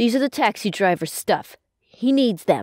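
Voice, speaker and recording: A woman uses a cartoonish character voice, growling at a fairly high pitch. Her intonation is lively and her pace moderate. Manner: curt, brusque.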